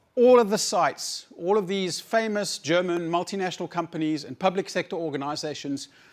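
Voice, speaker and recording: A moderate pace with a South African accent. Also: man, very clean recording, silent background. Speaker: conference speaker, researcher. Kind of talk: conference talk. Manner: halting, many repetitions and fillers.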